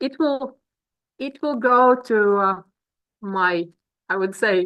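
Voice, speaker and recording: With a Latvian accent, a woman talks at a very slow pace, her fairly high voice moving in lively intonation. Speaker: business coach. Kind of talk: webinar presentation. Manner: halting.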